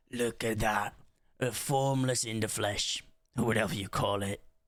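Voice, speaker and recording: Using a put-on character voice, a man speaks raspy and gruff at medium pitch, keeping a moderate pace and fairly even intonation. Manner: gruff, shouting.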